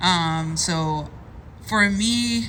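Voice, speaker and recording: Someone speaks in a Spanish accent, with audible room echo around the voice. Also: woman. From Cuba. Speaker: content creator. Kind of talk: personal testimony at a meetup panel.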